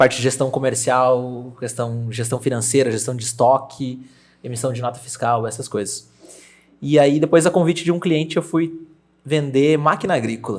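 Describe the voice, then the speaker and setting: A man with an unremarkable speaking voice talks at a moderate pace, with medium pitch and ordinary pitch variation. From Brazil, Rio Grande do Sul interior (Júlio de Castilhos). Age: 20s. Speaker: real estate agent. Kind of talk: podcast interview.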